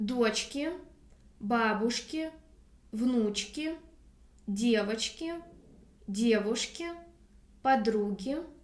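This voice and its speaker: In a Russian accent, a woman speaks very slowly at a high pitch with ordinary variation, her voice carrying audible room echo. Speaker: language teacher. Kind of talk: tutorial.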